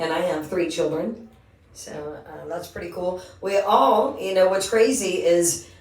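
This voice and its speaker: Amid noticeable background noise and audible room echo, a woman talks at medium pitch and a moderate pace with ordinary pitch variation. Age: 50s. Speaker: singer and podcast host. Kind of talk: casual chat.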